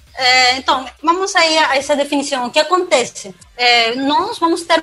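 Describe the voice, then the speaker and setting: A woman with a Peruvian accent uses a raised, projected voice with ordinary pitch variation. Noticeable background noise is heard. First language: Spanish (speaking Portuguese). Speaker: cloud security specialist. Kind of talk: podcast interview.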